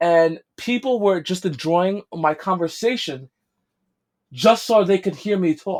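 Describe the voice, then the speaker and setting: The speaker has a strong New York accent and an animated tone. The pace is fairly slow, with ordinary pitch variation. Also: man, high pitch for a man. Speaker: podcast co-host. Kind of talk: casual chat.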